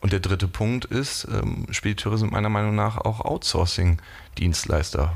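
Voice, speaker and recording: Fairly low in pitch, a man talks at a fairly slow pace. His intonation stays fairly even. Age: 20s. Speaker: startup CEO in logistics. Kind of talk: interview. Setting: office. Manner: hesitant with many fillers.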